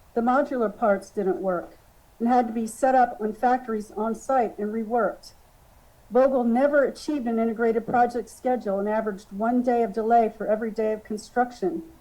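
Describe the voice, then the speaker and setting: A woman speaks fairly quickly in a fairly high, shaky voice with a dark, mellow tone. Her pitch varies in an ordinary way. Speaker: expert witness. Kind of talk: testimony. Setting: public hearing.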